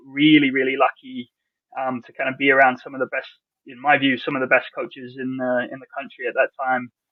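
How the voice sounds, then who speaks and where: A man speaks in a monotone, flat way. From England. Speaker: college soccer coach. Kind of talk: interview. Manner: casual, halting with repeated words.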